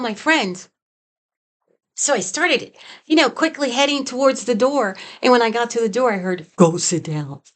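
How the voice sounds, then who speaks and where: Against a quiet background, a woman with a high pitch speaks at a moderate pace. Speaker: psychic medium. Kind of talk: personal storytelling. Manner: halting.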